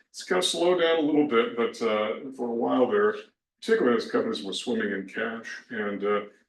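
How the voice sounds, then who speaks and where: A man mumbles at a very fast pace. His medium-pitched voice has lively intonation. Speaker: tax instructor. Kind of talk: recorded lecture. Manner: mumbling; hesitant, many fillers.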